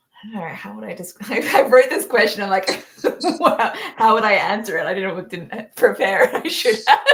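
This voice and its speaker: A woman speaks at a moderate pace, her loudness swinging widely. Background noise is noticeable. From Australia. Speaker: live stream host. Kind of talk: casual chat. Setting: live stream.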